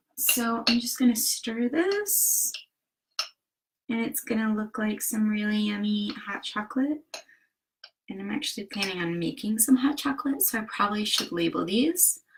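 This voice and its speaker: This woman talks at a moderate pace with a Southern US accent. Her pitch runs fairly high. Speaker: DIY and wellness vlogger. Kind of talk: tutorial. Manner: casual with frequent fillers.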